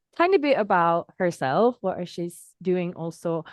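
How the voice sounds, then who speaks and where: With a Finnish accent, a woman speaks at a fairly low pitch with ordinary pitch variation. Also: dry, close sound with no echo. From Finland. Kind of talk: interview conversation.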